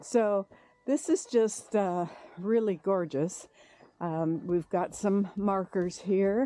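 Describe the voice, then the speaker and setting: At a very slow pace, a woman with an American accent speaks at a medium pitch, her tone dark and mellow, with ordinary pitch variation. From United States. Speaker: travel vlogger walking a pilgrimage. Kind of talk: casual vlog narration. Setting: outdoors. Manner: hesitant, many fillers.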